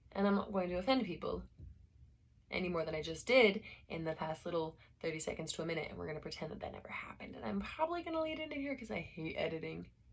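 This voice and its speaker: Talking at a very fast pace, a woman with an American accent and vocal fry uses very wide pitch swings and big swings in loudness. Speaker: amateur audiobook reader. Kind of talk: reading aloud. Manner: casual, rambling asides.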